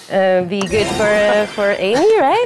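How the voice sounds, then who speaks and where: A woman's voice with noticeable background noise. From France. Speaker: TV show panelist. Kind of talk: presentation. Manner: animated.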